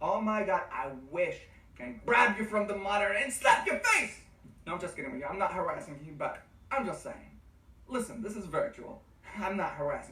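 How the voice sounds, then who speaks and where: An enthusiastic, fairly quick delivery broken by long, frequent pauses, over noticeable background noise. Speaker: nursing exam tutor. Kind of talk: online course lecture. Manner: loud, enthusiastic; animated.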